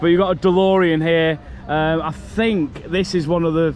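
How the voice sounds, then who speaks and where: A man with a Lancashire accent speaks at a high pitch. Background noise is noticeable. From northern England, Morecambe, Lancashire. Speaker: theme park vlogger. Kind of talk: casual vlog commentary. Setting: outdoors at a theme park. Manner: animated.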